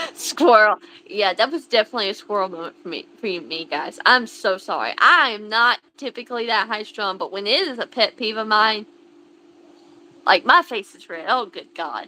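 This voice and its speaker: With an American accent, a woman speaks in a fairly high, bright, sharp voice, her intonation lively and her loudness swinging widely. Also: moderate pace. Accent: thick country. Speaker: livestream host. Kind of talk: casual livestream chat. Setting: livestream.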